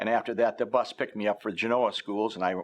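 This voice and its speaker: Talking at a very fast pace, a man speaks with an American accent. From northern Illinois, US Midwest. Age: 70s. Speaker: retired local journalist. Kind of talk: oral history interview. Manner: hesitant, many filler words.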